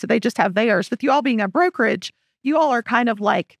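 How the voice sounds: The delivery has lively intonation at a fairly quick pace. The sound is dry and close, with no echo. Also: woman, fairly high pitch for a woman.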